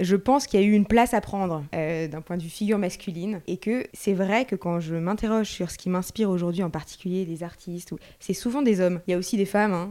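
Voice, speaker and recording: A woman talks at a very fast pace with hardly any pauses. Her tone is dark and mellow, and the very clean recording has a silent background. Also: medium pitch for a woman, ordinary pitch variation. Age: 30s. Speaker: artist. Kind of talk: interview. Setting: at home.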